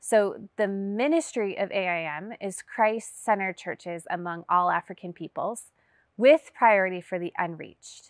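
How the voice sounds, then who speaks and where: A woman in an ordinary speaking voice with an American accent, medium pitch, ordinary pitch variation and big swings in loudness, in a dry, close sound with no echo and a very clean recording with a silent background. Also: moderate pace. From US, Las Vegas. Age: 30s. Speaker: missionary pilot. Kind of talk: testimony.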